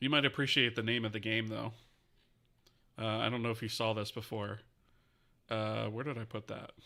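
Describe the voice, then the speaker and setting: A man mumbles at a fairly quick pace in a bright, sharp, monotone voice of medium pitch, with long, frequent pauses. The recording is very clean with a silent background. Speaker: game engine developer streamer. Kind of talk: live-streamed coding tutorial. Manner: fast; mumbling.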